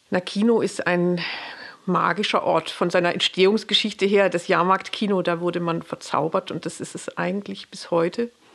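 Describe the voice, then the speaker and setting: This woman has a medium pitch. Her intonation is monotone and flat. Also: moderate pace. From Pforzheim, Baden-Württemberg, Germany. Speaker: community cinema director. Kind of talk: interview.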